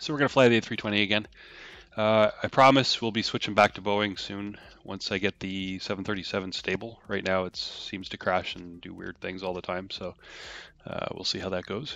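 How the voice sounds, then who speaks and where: Speaking at a fairly quick pace, a man keeps his intonation fairly even. His pitch sits fairly low. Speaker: flight sim streamer. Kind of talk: live stream commentary. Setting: live stream with game audio. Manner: mumbling; halting, many fillers.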